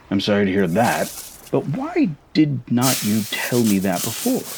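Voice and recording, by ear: In a put-on character voice, a man with a fairly low pitch and a slightly mellow tone makes very wide pitch swings. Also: fairly slow pace.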